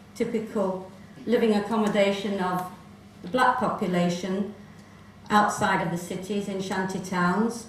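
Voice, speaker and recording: A woman at medium pitch speaks at a moderate pace with long, frequent pauses and a monotone, flat intonation, amid noticeable background noise and audible room echo. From South Africa, Johannesburg. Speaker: presenter telling family history. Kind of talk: presentation to festival audience.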